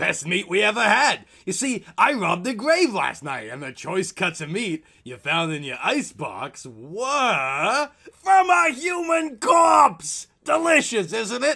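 A man's put-on character voice, high-pitched, raised and projected, at a fairly slow pace with hardly any pauses, very wide pitch swings and big swings in loudness. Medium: read story. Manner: mocking, gleeful.

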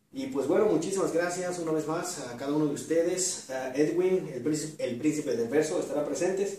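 A man speaks at a moderate pace in a fairly high voice, with ordinary pitch variation. His tone is dark and mellow, and strong room echo surrounds it.

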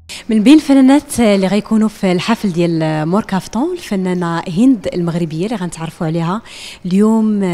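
Hardly pausing at all, a woman talks at a fairly quick pace with lively intonation. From Morocco. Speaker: interviewer for a women's website. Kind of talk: interview. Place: hall. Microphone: handheld.

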